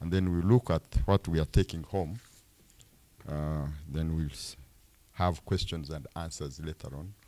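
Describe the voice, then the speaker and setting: A man with a very deep, low voice and a dark, mellow tone speaks at a fairly slow pace with ordinary pitch variation and long, frequent pauses. His loudness swings widely, and the sound is dry and close with no echo. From Uganda, Fort Portal area. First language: Rutoro. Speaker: fund executive. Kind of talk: public presentation. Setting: town hall meeting.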